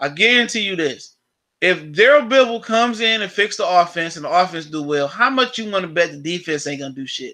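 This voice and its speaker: A man talks at a very fast pace in a raised, projected voice with a bright, sharp tone. His pitch swings very widely, and the background is quiet. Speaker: sports live streamer. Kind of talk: live stream sports talk. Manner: casual, repetitive stammering.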